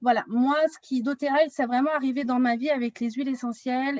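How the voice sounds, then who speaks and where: A woman uses a plain, everyday voice at a moderate pace with fairly even intonation, recorded dry and close with no echo. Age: 30s. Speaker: wellness consultant. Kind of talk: online workshop.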